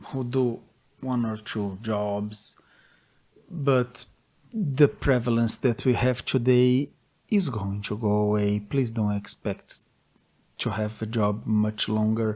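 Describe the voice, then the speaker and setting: A man with a Portuguese accent, medium pitch and a dark, mellow tone, at a very slow pace with long, frequent pauses. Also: ordinary pitch variation. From Brazil. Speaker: gaming commentator. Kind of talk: opinion monologue.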